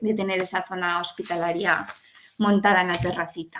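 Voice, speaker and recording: At a moderate pace, a woman talks in a medium pitch with monotone, flat intonation. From Spain, Salamanca. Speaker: pedagogue, hospital education specialist. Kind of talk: online talk to an audience.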